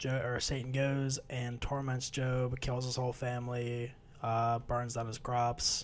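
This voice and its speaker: A man speaks quietly at a fairly slow pace. His intonation stays monotone and flat. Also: medium pitch for a man. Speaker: podcast co-host, Bible study discussion. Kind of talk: casual chat, summarizing scripture. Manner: low energy, quiet.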